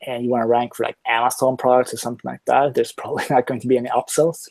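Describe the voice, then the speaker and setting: A man with a Swedish accent at a very fast pace, dark and mellow in tone, the sound dry and close with no echo. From Sweden. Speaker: online marketer, product reviewer. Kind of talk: interview on live call. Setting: live online call.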